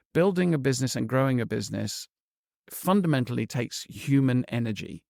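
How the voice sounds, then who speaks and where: A man with a plain, everyday voice speaks with lively intonation. The sound is dry and close, with no echo. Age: 60s. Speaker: entrepreneur. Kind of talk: interview.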